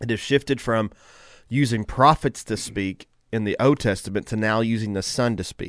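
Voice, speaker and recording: A man with a Southern US accent talks at a moderate pace against a quiet background. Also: medium pitch for a man. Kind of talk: casual morning radio talk. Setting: studio. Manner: animated, preachy enthusiasm.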